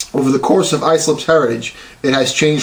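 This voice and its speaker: Here is a man in a normal speaking voice with an American accent. He talks at a fairly quick pace with ordinary pitch variation. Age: 40s. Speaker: police officer and college student. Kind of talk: class speech. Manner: formal.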